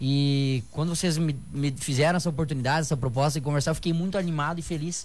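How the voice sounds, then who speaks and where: In a room with audible echo, a man speaks at a fairly quick pace, his fairly high voice showing ordinary pitch variation. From southern Brazil (Rio Grande do Sul, Santa Rosa). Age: 20s. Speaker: bodybuilder and personal trainer. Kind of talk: casual radio interview. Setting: radio studio.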